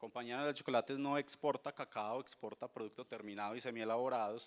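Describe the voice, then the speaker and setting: The sound is dry and close, with no echo. A man speaks at a very fast pace with fairly even intonation. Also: medium pitch for a man. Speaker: company sustainability representative. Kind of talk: conference talk.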